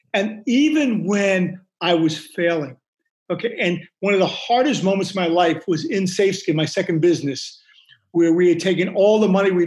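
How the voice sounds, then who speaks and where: A man speaks in a high-pitched voice. His pace is fairly quick. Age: 60s. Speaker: business owner and speaker. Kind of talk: interview discussing success and life lessons.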